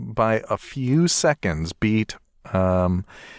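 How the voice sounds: This is a natural reading voice. It is heard reading through the clip.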